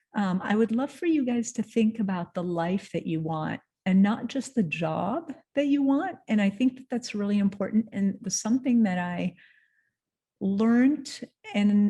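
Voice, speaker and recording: Somewhat breathy, this woman has a dark, mellow tone at a medium pitch. She talks at a fairly slow pace with ordinary pitch variation. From Lebanon. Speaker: entrepreneur and creative director. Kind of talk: motivational talk. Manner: halting, with fillers and restarts.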